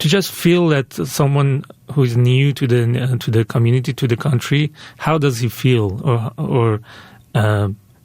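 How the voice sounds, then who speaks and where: A somewhat breathy man with a Persian accent at a fairly slow pace. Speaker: filmmaker. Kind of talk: radio interview. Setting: radio interview. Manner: halting, many fillers and restarts.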